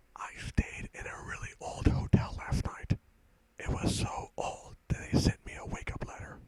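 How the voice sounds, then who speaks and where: A man whispering at a moderate pace, with big swings in loudness and noticeable background noise. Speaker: ASMR creator. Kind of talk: whispered stand-up comedy one-liners. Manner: whispered.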